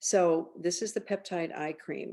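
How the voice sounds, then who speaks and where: A woman's fairly low, dark and mellow voice at a moderate pace. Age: 70s. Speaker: skincare company founder. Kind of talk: tutorial. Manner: halting.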